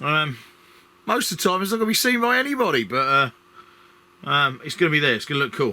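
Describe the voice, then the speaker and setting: A man talks very fast with an Essex accent, his pitch fairly high and swinging very widely. He leaves long, frequent pauses. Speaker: scenery modeller. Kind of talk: build tutorial commentary. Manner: casual, halting with fillers.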